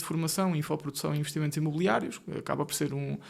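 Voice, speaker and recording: On a very clean recording with a silent background, a man with a central Portugal accent speaks at a very fast pace in a monotone, flat intonation. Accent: European Portuguese, central Portugal. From Portugal, Ribatejo (born Marinha Grande). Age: 20s. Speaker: solicitor and business co-founder. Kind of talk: podcast interview. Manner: casual, joking.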